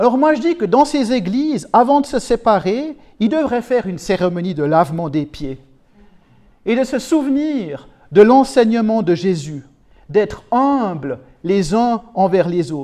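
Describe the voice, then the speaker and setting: Speaking at a fairly slow pace, a man with a high pitch and a dark, mellow tone makes very wide pitch swings. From Switzerland, canton of Neuchâtel. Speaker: preacher. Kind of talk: sermon. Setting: church.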